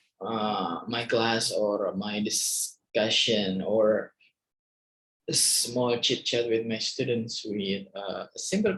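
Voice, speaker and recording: A man speaks with an Indonesian accent. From Indonesia, East Kalimantan. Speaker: university lecturer. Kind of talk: lecture. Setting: screen-share video recording. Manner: halting, many fillers.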